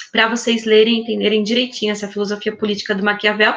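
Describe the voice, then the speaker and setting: A woman's fairly high voice in monotone, flat intonation. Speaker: high school teacher. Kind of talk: online class lecture. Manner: fast.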